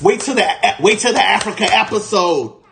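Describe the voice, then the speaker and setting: Over noticeable background noise, a man with an American accent talks fairly slowly in a high pitch with lively intonation. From United States. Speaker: podcast host, livestreamer. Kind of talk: casual livestream chat. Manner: animated.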